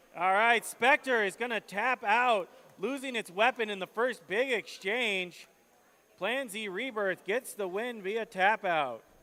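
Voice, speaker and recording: A man projects a raised voice with a bright, sharp tone and a high pitch. He goes at a fairly slow pace with ordinary pitch variation. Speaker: robot combat commentator. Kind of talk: live commentary. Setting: indoor event arena, livestream. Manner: animated.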